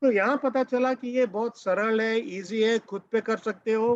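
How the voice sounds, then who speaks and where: A man's high-pitched voice in a dry, close sound with no echo. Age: 70s. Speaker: course participant sharing feedback. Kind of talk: testimonial feedback on video call. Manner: code-switching Hindi and English.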